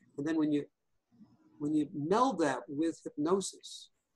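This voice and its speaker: In a New York accent, a man with a fairly high pitch talks at a moderate pace with ordinary pitch variation, the sound dry and close with no echo. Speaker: hypnotherapist and EFT practitioner. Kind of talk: interview.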